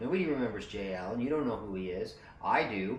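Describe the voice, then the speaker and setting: This man's mid-range voice carries audible room echo along with noticeable background noise. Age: 60s. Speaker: motorcycle traveler and video maker. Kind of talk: casual conversation. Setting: motorcycle shop. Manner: relaxed.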